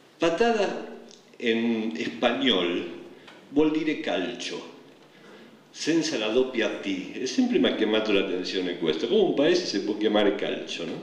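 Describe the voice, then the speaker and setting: A man speaks at a fairly slow pace, stopping for long, frequent pauses. Room echo is audible and background noise is noticeable. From Argentina. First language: Spanish (speaking Italian). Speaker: poet. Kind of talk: public speech. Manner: halting.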